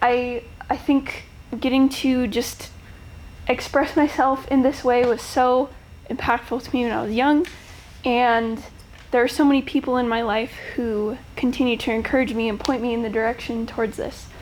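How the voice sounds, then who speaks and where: This woman's voice is loud and high-pitched, with a flat, monotone intonation. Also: moderate pace. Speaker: art student, singer-songwriter. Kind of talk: artist talk.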